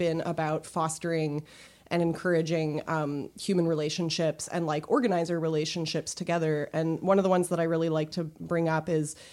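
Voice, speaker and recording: A woman's fairly low-pitched, a normal speaking voice at a fairly quick pace, in a very clean recording with a silent background. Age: 30s. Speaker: comic artist. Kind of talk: casual chat. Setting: studio.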